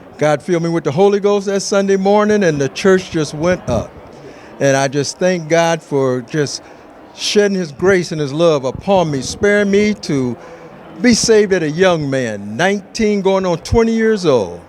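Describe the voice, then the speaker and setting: Over noticeable background noise, a man talks at a moderate pace in a high pitch with lively intonation. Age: 60s. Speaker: church deacon. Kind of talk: testimony.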